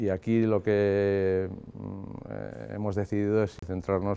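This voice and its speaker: A man's very deep, low voice, dark and mellow in tone, monotone and flat, at a very slow pace. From Basque Country, Spain. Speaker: writer. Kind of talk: interview. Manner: halting. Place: street. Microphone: lapel.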